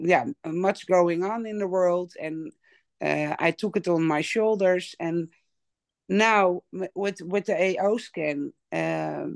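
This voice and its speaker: In a Dutch accent, a woman with a fairly low pitch speaks at a very slow pace with ordinary pitch variation, the sound dry and close with no echo over a quiet background. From Netherlands. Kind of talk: testimony. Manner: halting.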